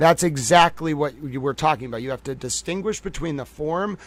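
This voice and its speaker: A man with a fairly high pitch talks fairly quickly, his pitch moving in an ordinary way. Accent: Boston. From Boston. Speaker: livestream commentator. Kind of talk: live stream analysis. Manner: casual, filler-heavy.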